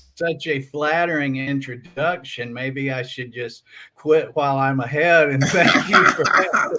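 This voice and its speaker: Over noticeable background noise, a man with an American accent talks slowly at a fairly high pitch with fairly even intonation. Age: 50s. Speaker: researcher and author. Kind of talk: casual interview.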